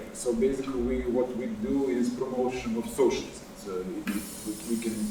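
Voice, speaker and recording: With a South Slavic accent, this voice moves at a fairly slow pace with lively intonation, heard through audible room echo and noticeable background noise. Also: man. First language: not English. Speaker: activist researcher. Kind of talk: panel talk. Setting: stage with live audience. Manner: halting, many fillers.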